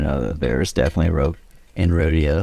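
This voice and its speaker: A man with a very deep, low voice speaks in a relaxed tone with fairly even intonation. Noticeable background noise runs underneath. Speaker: podcast co-host. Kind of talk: casual chat. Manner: relaxed, chill.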